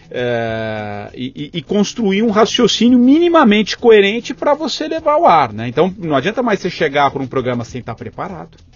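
Through noticeable background noise, a man speaks at a moderate pace with hardly any pauses. His pitch is high, and it swings very widely. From São Paulo state, Brazil (capital and interior). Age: 40s. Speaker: journalist, former radio news director. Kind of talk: interview conversation.

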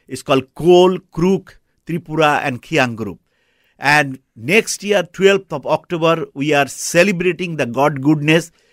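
A man with a Bengali accent speaks fairly slowly at a fairly high pitch with ordinary pitch variation. The recording is very clean, with a silent background and a dry, close sound with no echo. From Bangladesh. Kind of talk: radio interview. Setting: studio. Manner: halting, with many fillers.

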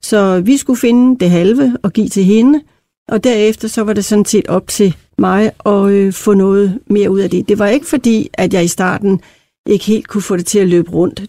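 At a moderate pace and medium pitch, a woman speaks with a dark, mellow tone, ordinary pitch variation and very even loudness, in a dry, close sound with no echo. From Denmark, Randers (East Jutland). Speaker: company chair, founder's daughter. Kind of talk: interview.

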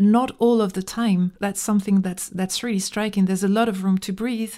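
The voice has a dark, mellow tone with a French accent. The recording is very clean, with a silent background. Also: woman. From small-town France. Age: 40s. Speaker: musician. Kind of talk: interview. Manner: halting, many fillers.

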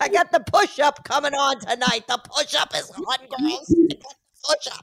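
A woman performs a put-on character voice at a high pitch. Her tone is playful and her pace moderate. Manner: creepy, playful.

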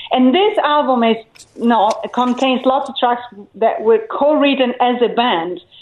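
High-pitched female speech, fairly slow in pace. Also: ordinary pitch variation. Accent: Italian. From Italy, island of Elba. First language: Italian. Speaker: rock singer and songwriter. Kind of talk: casual radio interview. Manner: hesitant, with fillers.

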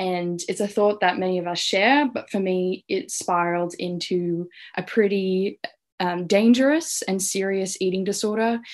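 In an Australian accent, a woman speaks at a moderate pace with a medium pitch and ordinary pitch variation. The background is quiet. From Australia, Canberra. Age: 20s. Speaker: youth mental health advocate. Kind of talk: interview testimony.

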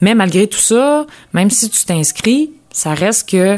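A woman's lively intonation at a very slow pace. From Quebec, Lanaudière. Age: 20s. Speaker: agricultural mechanic. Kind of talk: interview.

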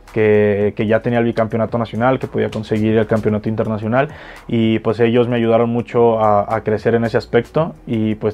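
A man at a moderate pace and medium pitch, with monotone, flat intonation. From Mexico, Jalisco (Guadalajara). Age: 20s. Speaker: freestyle rapper. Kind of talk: interview.

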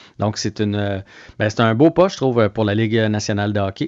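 A man's medium-pitched voice at a very fast pace, with a dry, close sound, no echo and a quiet background. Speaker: sports reporter. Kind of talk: casual radio chat.

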